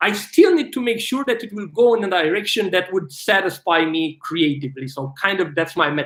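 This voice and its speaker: Loud and at a fairly quick pace, a man with a Romanian accent talks in a high pitch with lively intonation. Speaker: filmmaker and actor. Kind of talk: live stream Q&A. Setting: livestream. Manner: animated.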